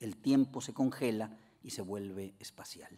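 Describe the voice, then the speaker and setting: A man's medium-pitched voice, dark and mellow in tone, with fairly even intonation. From Mexico. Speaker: philosopher and language academy director; keynote lecturer. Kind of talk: lecture. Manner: formal. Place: hall. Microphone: podium.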